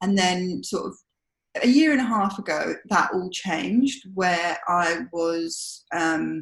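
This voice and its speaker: A woman speaks with a London accent, her voice somewhat breathy. She talks at a very slow pace with ordinary pitch variation. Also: medium pitch for a woman. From South London. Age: 30s. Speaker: doctor and cancer patient. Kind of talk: personal testimony in podcast interview. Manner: hesitant, many fillers.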